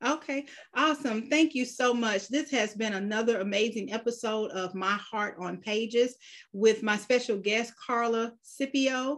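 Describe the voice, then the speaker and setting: In an American accent, a woman with a fairly high voice speaks at a moderate pace with ordinary pitch variation on a very clean recording with a silent background. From US South, Georgia. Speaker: podcast host and publisher. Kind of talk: casual interview. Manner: animated.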